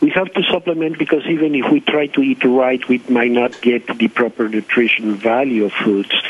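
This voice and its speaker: Against noticeable background noise, a man talks at a fairly quick pace with hardly any pauses. His pitch is medium and its variation ordinary. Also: very even loudness. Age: 70s. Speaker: doctor. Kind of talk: radio interview. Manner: halting, many fillers.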